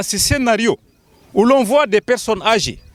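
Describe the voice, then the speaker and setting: A man speaks with ordinary pitch variation amid noticeable background noise. The sound is dry and close, with no echo. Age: 60s. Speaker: community spokesman. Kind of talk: public statement. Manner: formal; emphatic.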